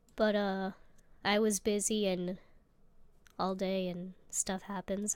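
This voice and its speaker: Here a woman speaks at a very slow pace with long, frequent pauses. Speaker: video creator answering fan questions. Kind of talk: casual Q&A. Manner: hesitant, many fillers.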